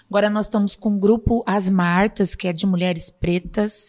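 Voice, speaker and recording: This woman speaks at a moderate pace and medium pitch in a monotone, flat intonation. The recording is very clean, with a silent background. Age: 50s. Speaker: city councillor and psychologist. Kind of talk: casual interview.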